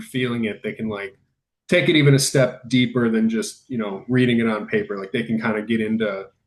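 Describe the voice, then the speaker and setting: A man's normal speaking voice with lively intonation. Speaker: podcast host. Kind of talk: casual interview conversation.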